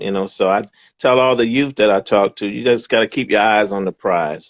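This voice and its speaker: This man has an unremarkable speaking voice, with fairly low pitch, ordinary pitch variation, and a fairly quick pace. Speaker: boxing ring announcer. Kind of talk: interview answer. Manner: upbeat, warm, encouraging.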